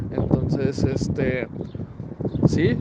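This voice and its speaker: Background noise is clearly audible. Over it, a man talks. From Chihuahua, northern Mexico (Parral; raised in Ciudad Juárez). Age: 30s. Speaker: graphic designer and podcaster. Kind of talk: recorded voice message answers. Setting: recorded separately, voice message.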